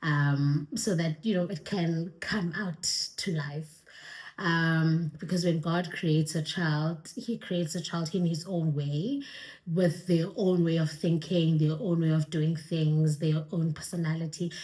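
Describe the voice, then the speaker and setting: A fairly low-pitched woman's voice, somewhat breathy, dark and mellow in tone, with fairly even intonation and a fairly slow pace. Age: 20s. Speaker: YouTuber. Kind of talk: Q&A vlog. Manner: casual, hesitant with fillers.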